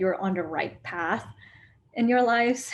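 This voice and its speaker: Against a quiet background, a woman speaks at a moderate pace in a somewhat breathy voice with ordinary pitch variation. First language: not English. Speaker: school alumna. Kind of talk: interview. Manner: hesitant, many fillers.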